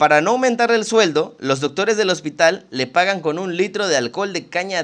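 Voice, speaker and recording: Against a quiet background, a man talks in a high pitch with very wide pitch swings. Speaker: literature podcast host. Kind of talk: casual chat; reading aloud. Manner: fast.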